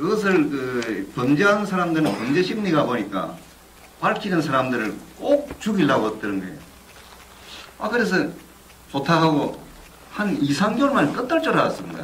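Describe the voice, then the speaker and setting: With noticeable background noise and audible room echo, a man with fairly high pitch speaks at a moderate pace, using very wide pitch swings and long, frequent pauses. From South Korea, Busan. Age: 60s. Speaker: whistleblower, former union leader. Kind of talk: testimony.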